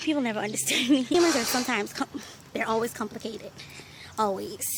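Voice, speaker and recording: Against noticeable background noise, a woman talks at a very fast pace. Her pitch is fairly high, with ordinary variation. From Bahamas. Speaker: vlogger. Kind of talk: casual vlog. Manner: animated.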